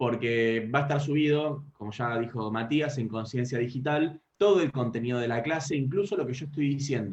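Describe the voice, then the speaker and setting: A man with a Rioplatense accent speaks fairly quickly in a fairly high, somewhat breathy voice. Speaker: law lecturer. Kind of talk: lecture. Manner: fast.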